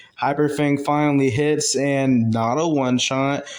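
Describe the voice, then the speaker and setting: A man's fairly high voice on a very clean recording with a silent background. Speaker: gaming YouTuber. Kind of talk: gameplay voiceover commentary. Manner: casual with many fillers; fast.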